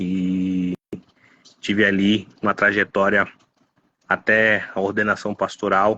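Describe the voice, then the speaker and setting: This man's voice sits fairly low. He talks very slowly. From Baixada Santista, São Paulo state, Brazil. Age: 30s. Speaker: pastor. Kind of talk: interview.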